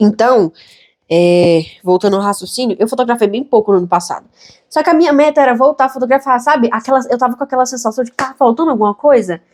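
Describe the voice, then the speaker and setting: A woman speaks very fast in a high voice with lively intonation. The sound is dry and close, with no echo. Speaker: YouTuber and photographer. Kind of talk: casual vlog monologue. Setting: home room, filming to camera.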